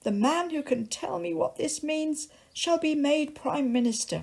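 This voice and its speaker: A croaky, put-on character voice moves at a moderate pace with lively intonation. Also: woman, high pitch for a woman. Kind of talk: bedtime story. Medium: read story.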